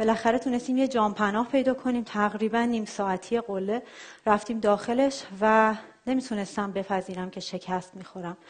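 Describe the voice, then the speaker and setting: A woman's somewhat breathy, fairly high voice at a moderate pace, with fairly even intonation. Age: 30s. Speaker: software engineer and traveler giving a talk. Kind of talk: talk.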